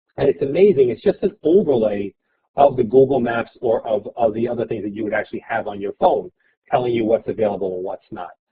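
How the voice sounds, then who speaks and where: At a very fast pace, a somewhat breathy man with an American accent and a medium pitch talks with lively intonation and big swings in loudness. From New York City, Brooklyn. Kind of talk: webinar presentation.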